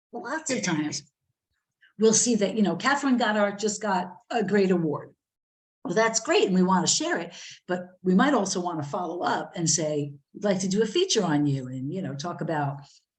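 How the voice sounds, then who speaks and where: Someone with an American accent speaks with lively intonation, and room echo is audible. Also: woman. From New Jersey. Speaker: magazine editor and author. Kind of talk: workshop talk. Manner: many fillers and restarts.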